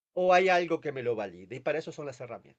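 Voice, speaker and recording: His voice sits fairly high for a man, with ordinary pitch variation. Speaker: palliative care physician. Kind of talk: webinar lecture. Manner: fast. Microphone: no microphone, too quiet.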